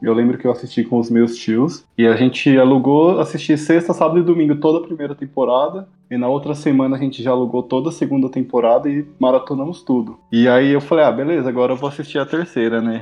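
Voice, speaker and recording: At a very fast pace and with hardly any pauses, a man speaks at a medium pitch with fairly even intonation. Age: 20s. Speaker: advertising professional, series fan. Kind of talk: casual chat.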